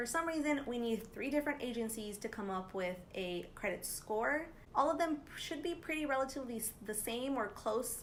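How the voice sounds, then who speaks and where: A woman's high-pitched, upbeat voice with lively intonation, a moderate pace and hardly any pauses, plus audible room echo and noticeable background noise. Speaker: personal finance youtuber. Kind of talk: tutorial. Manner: casual, upbeat.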